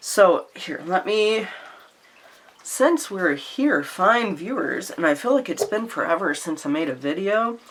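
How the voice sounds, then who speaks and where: A woman with an American accent talks at a fairly slow pace in a medium pitch. Her pitch swings very widely over noticeable background noise. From Louisiana, US South. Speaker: tarot and oracle deck YouTuber. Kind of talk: casual vlog chat. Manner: chatty, many fillers and restarts.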